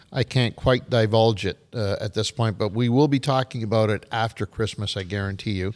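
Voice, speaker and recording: A man's ordinary speaking voice at medium pitch, fairly even in intonation, with hardly any pauses, in a very clean recording with a silent background. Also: moderate pace, dry, close sound with no echo. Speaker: podcast host. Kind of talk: casual podcast banter.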